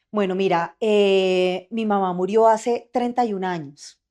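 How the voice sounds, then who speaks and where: Medium in pitch with ordinary pitch variation, a woman speaks at a fairly slow pace in an unremarkable speaking voice. The background is quiet. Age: 40s. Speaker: journalist and adoptive mother. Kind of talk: interview testimony.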